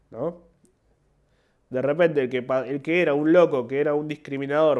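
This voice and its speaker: Speaking in a Rioplatense accent, a man keeps a moderate pace. His pitch is fairly high for a man, with ordinary variation. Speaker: comedian. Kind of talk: casual monologue. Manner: halting.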